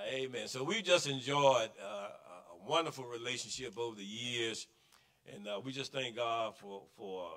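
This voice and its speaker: A man speaks in a bright, sharp tone against a quiet background. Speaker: church emcee. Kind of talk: church announcements. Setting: church. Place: church. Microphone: podium.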